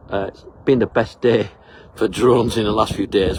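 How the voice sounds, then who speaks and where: Noticeable background noise fills the recording. A man speaks fairly quickly over it. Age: 60s. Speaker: travel vlogger. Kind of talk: casual vlog narration. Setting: outdoors on a hiking trail. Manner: halting, with many fillers.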